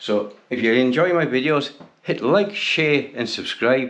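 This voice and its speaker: With an English accent, a man talks at a fairly slow pace, his medium pitch carried by lively intonation. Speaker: bicycle restoration YouTuber. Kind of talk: tutorial. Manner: casual.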